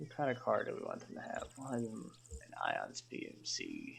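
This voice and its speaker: The speaker mumbles quietly at a fairly slow pace over noticeable background noise. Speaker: game mod tutorial maker. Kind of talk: unedited screen-recorded tutorial. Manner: mumbling, quiet.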